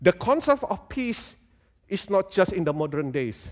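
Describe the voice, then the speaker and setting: On a very clean recording with a silent background and a dry, close sound with no echo, a high-pitched man with an Indonesian accent speaks at a fairly slow pace with very wide pitch swings. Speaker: guest preacher. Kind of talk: sermon. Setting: church with congregation.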